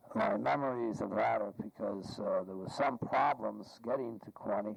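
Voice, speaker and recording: A man with an American accent, over noticeable background noise. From Massachusetts, Boston area. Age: 60s. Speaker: interviewee recalling family memories. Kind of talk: oral history interview. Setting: at home. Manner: halting, many fillers.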